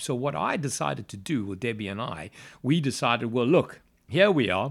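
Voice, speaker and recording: An enthusiastic man with very wide pitch swings on a very clean recording with a silent background. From South Africa, Johannesburg. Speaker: property investor and company CEO. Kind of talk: casual interview-style podcast talk. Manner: enthusiastic, motivational, with fillers.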